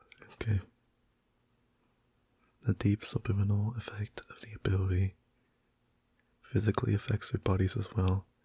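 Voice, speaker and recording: A soft-spoken man talks in a fairly low, somewhat breathy voice at a moderate pace, in a flat monotone with long, frequent pauses. His loudness swings widely, and the sound is dry and close with no echo. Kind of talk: reading facts aloud about a fictional ability.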